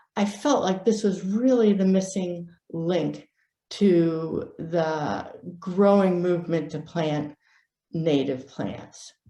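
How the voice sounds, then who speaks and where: A woman's fairly low, dark and mellow voice at a very slow pace, with ordinary pitch variation and audible room echo. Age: 60s. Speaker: native plant propagation expert, nonprofit founder. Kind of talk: presentation.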